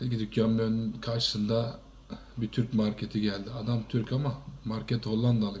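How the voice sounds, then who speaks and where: With vocal fry and monotone, flat intonation, a man talks at a moderate pace. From Turkey. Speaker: shop owner. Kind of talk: testimony.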